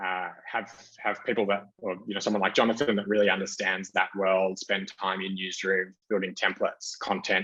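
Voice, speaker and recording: With an Australian accent, a man speaks at a moderate pace in a fairly low, bright, sharp voice with monotone, flat intonation. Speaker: marketing executive. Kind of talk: conference talk with slides. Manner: many fillers and restarts.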